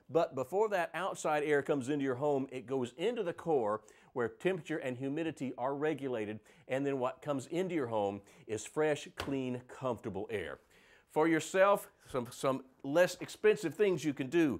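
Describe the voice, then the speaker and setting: A man with lively intonation and a fairly high pitch talks at a moderate pace in an ordinary speaking voice. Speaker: home improvement expert. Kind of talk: sponsored TV morning show segment. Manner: upbeat, conversational.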